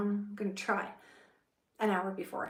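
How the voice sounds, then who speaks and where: A woman's voice sits at a medium pitch. It has a somewhat breathy quality. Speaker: content creator and voiceover artist. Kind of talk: casual talk to camera.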